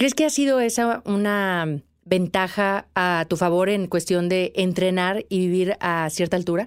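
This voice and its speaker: A woman speaks in a plain, everyday voice at a fairly slow pace, with hardly any pauses and very even loudness, on a very clean recording with a silent background. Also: medium pitch for a woman, ordinary pitch variation. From Mexico. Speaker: podcast host, mountaineer. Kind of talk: interview.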